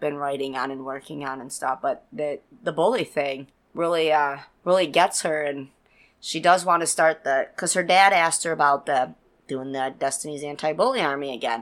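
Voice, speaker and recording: This woman's voice sits very deep and low. The recording is very clean, with a silent background. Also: big swings in loudness. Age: 30s. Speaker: paranormal podcast host. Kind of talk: casual chat. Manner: animated.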